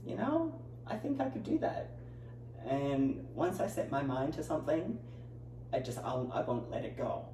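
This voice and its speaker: Over noticeable background noise, the speech runs at a moderate pace with long, frequent pauses. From Australia, Newcastle, New South Wales. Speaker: personal trainer and pro bodybuilder. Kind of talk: interview.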